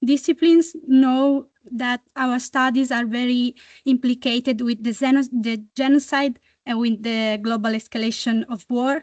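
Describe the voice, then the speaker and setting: Against a quiet background, a woman with an Italian accent speaks in a high pitch, the sound dry and close with no echo. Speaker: student activist. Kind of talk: audience comment at a meeting. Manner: halting, many fillers.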